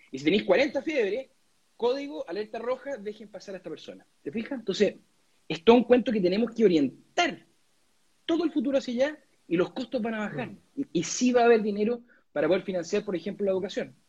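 With a Chilean accent, a man talks at a very fast pace in a high voice with lively intonation. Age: 30s. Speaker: lawyer and political candidate. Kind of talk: interview. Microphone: connection problems.

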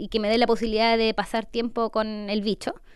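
This is an unremarkable speaking voice moving at a fairly quick pace. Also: woman. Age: 30s. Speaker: entrepreneur. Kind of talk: interview testimony.

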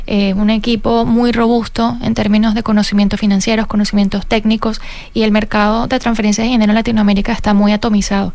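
Against noticeable background noise, a woman speaks at a very fast pace. Her fairly high pitch stays monotone and flat, with very even loudness. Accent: Venezuelan. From Venezuela. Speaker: fintech cofounder and CEO. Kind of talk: radio interview.

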